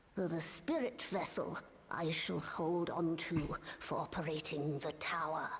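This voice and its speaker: A put-on character voice at a middle pitch and fairly slow pace, with clear background noise. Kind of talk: archaic formal speech. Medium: video game. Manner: stiff, proper.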